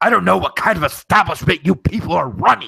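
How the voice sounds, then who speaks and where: A man puts on a raspy character voice. He talks at a very fast pace. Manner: indignant, complaining.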